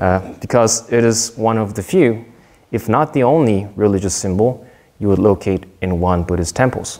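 A man with a Korean accent, fairly low-pitched for a man, with a dark, mellow tone, ordinary pitch variation and a moderate pace. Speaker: soldier giving a Dharma talk. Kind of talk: prepared Dharma talk read aloud. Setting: temple service. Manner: formal.

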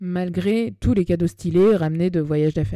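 A woman's fairly low, dark and mellow voice at a moderate pace, with very wide pitch swings, on a very clean recording with a silent background. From Paris, France. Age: 30s. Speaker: podcast host and spiritual coach. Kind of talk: personal storytelling monologue. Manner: casual, slangy. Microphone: new microphone.

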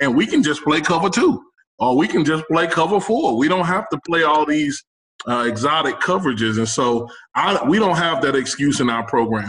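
In a plain, everyday voice, a man with an American accent speaks at a moderate pace with a fairly high pitch, lively intonation and very even loudness. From Texas, Houston. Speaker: college football head coach. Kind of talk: casual interview.

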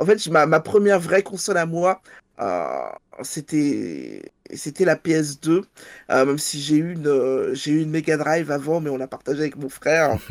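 On a very clean recording with a silent background, a woman with a very deep, low pitch talks at a fairly slow pace with ordinary pitch variation. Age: 40s. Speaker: librarian and podcaster. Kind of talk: casual chat.

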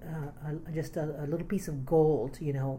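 In an American accent, a woman with a very deep, low pitch and a somewhat breathy voice speaks at a moderate pace with fairly even intonation. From Texas, Austin area. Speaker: community arts organizer. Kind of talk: oral history interview.

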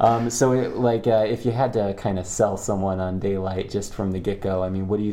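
This man has a fairly low pitch and fairly even intonation, talking at a fairly quick pace with hardly any pauses against noticeable background noise. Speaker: interviewer and co-host.

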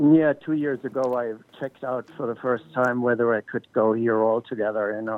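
A man has an unremarkable speaking voice at a medium pitch. He keeps a moderate pace and fairly even intonation. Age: 60s. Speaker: cannabis photographer. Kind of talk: interview.

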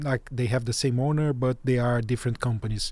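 A man speaks with a Portuguese accent. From Brazil. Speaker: journalist and podcast host. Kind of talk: interview.

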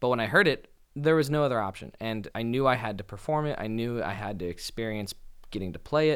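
A man speaks at a very fast pace with an American accent and lively intonation. The recording is very clean, with a silent background. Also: medium pitch for a man. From US West Coast, Los Angeles. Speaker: saxophonist. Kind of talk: interview.

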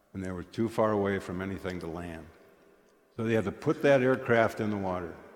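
With an Upper Midwest accent, a man speaks fairly quickly at a fairly low pitch with ordinary pitch variation. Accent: Upper Midwest American. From US Midwest (eastern South Dakota). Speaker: guest lay speaker at church. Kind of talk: sermon. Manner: conversational storytelling.

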